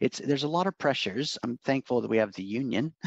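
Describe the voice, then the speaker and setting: This is a man speaking. He has an American accent. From Oregon, US. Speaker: university lecturer. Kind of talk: casual interview.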